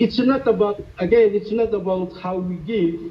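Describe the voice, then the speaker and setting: A man speaks in a high pitch at a fairly slow pace. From Micronesia. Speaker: missionary. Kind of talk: testimony. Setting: video call. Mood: grateful, earnest. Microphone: video call.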